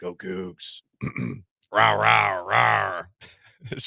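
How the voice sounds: A raspy, put-on character voice from a man, very deep and low in pitch, with very wide pitch swings.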